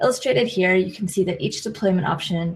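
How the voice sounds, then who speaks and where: With an American accent, a woman speaks in a somewhat breathy voice at a medium pitch. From United States. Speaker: IT consultant. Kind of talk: technical presentation.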